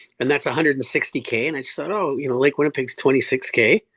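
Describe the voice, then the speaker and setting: Recorded dry and close with no echo against a quiet background, a man with a Canadian accent speaks at a fairly high pitch. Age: 60s. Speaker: cancer survivor and swimmer. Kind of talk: interview. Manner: halting.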